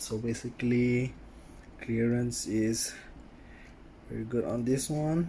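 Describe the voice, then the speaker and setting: Breathing somewhat audibly, a man talks at a very slow pace with long, frequent pauses. His medium pitch carries fairly even intonation. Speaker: RC car hobbyist. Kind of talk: casual talk to camera. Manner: hesitant, many fillers.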